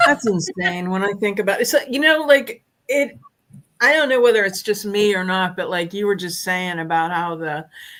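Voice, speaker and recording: A woman talks at a moderate pace with a medium pitch and lively intonation. It is an ordinary speaking voice. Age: 60s. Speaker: furniture flipper, challenge participant. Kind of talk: casual livestream chat. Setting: live stream.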